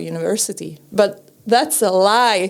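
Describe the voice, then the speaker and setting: A woman talks in a fairly high pitch. Her pitch variation is ordinary. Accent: Czech. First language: Czech. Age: 30s. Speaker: podcaster and TV presenter. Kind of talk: casual chat. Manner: halting.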